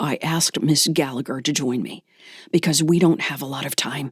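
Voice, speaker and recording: Raspy and put on as a character voice, the speech runs at a moderate pace with a low-to-middle pitch. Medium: read story. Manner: terse, edge of command.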